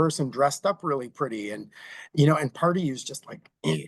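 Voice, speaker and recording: His pitch is fairly high for a man. He speaks at a fairly quick pace. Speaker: agency CEO and author. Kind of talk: interview. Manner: fast.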